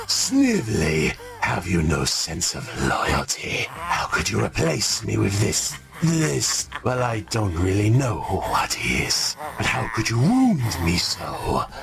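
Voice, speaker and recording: A man's put-on character voice, fairly low-pitched and fairly slow, with clear background noise. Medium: audio drama. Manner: menacing, theatrical.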